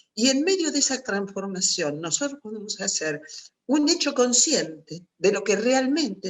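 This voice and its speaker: A woman talks at a moderate pace in an ordinary speaking voice. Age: 60s. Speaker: psychologist and writer. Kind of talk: talk at a virtual writers' meeting.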